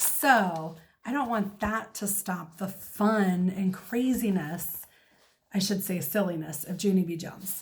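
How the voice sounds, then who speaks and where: A somewhat breathy woman at a fairly slow pace, with ordinary pitch variation. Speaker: teacher. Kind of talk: casual talk to camera.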